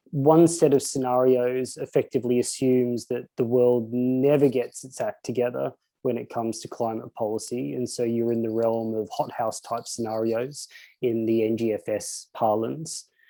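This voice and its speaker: Here a man with an Australian accent has a dark, mellow tone and a medium pitch. He keeps a moderate pace with fairly even intonation. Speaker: economic researcher. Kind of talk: conference presentation. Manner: hesitant, many fillers and repetitions.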